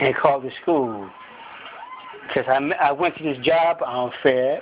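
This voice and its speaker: A man's fairly high voice carries fairly even intonation over noticeable background noise. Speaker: vlogger. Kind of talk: motivational monologue. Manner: fast; halting.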